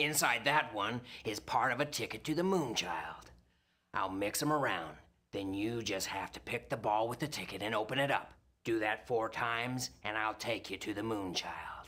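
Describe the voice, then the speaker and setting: Gravelly and put-on, this is a man's character voice. Its pitch sits in the medium range, with ordinary variation. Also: moderate pace. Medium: video game. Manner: crude, threatening.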